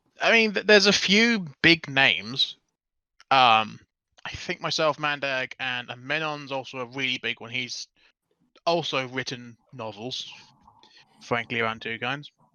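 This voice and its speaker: The speaker talks at a fairly slow pace with a British accent. Pauses are long and frequent. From Britain. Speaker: fanfiction writer. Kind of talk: casual chat.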